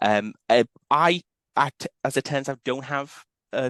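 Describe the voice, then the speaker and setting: A man with ordinary pitch variation, against a quiet background, in a dry, close sound with no echo. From northern England, Liverpool. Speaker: university lecturer. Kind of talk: conference presentation.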